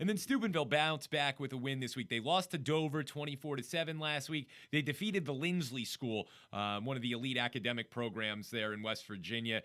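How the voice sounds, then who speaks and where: A man with an American accent speaks at a very fast pace. His pitch is medium. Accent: New Jersey accent, picking up some Pittsburgh. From northern New Jersey. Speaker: sports radio host. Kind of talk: sports talk show.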